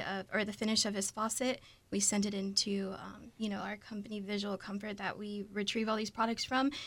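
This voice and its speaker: An ordinary speaking voice with an American accent, moderate pace and fairly even intonation. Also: woman. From coastal South Carolina. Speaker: lighting manager. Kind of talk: radio interview.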